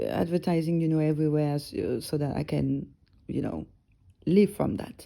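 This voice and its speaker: A woman talks at a moderate pace with a French accent. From northern France. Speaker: music blogger and podcast host. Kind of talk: casual solo podcast talk. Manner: relaxed, chilled; halting, many fillers.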